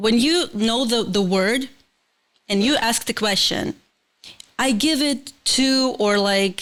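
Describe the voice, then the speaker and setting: Speaking very slowly with long, frequent pauses, a woman with a Ukrainian accent keeps her loudness very even, her fairly high pitch showing ordinary variation. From Ukraine. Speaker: multidisciplinary artist and production co-owner. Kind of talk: casual interview chat. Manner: halting, hesitant.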